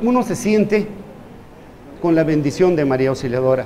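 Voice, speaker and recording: A man with lively intonation at a moderate pace, amid noticeable background noise and audible room echo. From Peru. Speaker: physician. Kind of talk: lecture.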